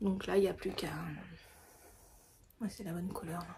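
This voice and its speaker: A woman's voice at a medium pitch comes through noticeable background noise. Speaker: candle maker and knitting podcaster. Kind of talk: casual chat. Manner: hesitant, many fillers.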